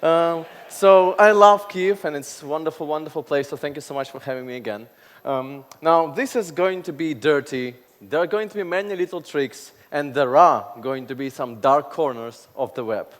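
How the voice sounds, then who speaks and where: A man's animated voice at a fairly high pitch, with lively intonation and big swings in loudness. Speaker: conference speaker. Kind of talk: keynote talk. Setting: stage with audience. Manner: fast.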